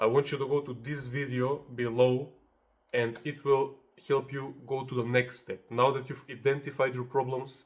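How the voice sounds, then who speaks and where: Somewhat breathy and medium in pitch, a man with a non-native accent speaks at a moderate pace in a monotone, flat intonation. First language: not English. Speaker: self-help video creator. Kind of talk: motivational tutorial. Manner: casual, conversational.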